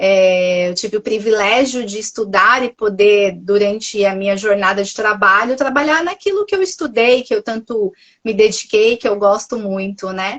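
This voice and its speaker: Hardly pausing at all, a woman in a Minas Gerais accent speaks at a fairly high pitch. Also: ordinary pitch variation, moderate pace. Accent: mineiro. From Minas Gerais, Brazil. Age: 40s. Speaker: nutritionist. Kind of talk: testimony. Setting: Instagram live podcast.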